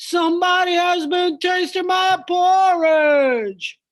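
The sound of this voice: A put-on character voice speaks very slowly at an extremely high pitch.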